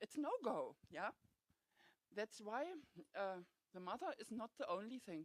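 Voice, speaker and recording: A woman with a non-native accent speaks at a fairly slow pace with very wide pitch swings, in a dry, close sound with no echo. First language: not English. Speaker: home educating parent. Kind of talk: audience comment. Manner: halting.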